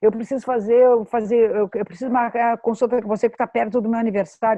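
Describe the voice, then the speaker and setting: The delivery is very fast. The intonation stays monotone and flat. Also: woman. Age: 60s. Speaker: astrologer. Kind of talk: workshop talk.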